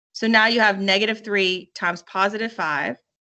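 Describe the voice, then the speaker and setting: A woman speaks at a medium pitch in a bright, sharp tone. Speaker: math teacher. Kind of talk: online lesson. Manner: fast; casual.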